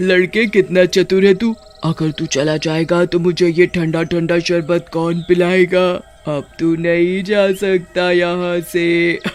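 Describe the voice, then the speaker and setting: A man puts on a high-pitched cartoonish character voice in a monotone, flat intonation. He talks at a fairly slow pace with hardly any pauses. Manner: threatening, bossy.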